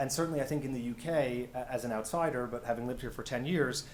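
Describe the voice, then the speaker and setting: A fairly quick man with an American accent, amid audible room echo and noticeable background noise. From United States. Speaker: health tech company founder. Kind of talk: panel presentation. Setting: stage with audience. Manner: hesitant, many fillers.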